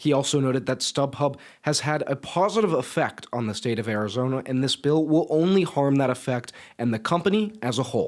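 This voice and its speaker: With an ordinary speaking voice, a man talks fairly quickly at a fairly high pitch and with lively intonation. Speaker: student sports and news anchor reporter. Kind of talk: TV news anchor / reporter delivery.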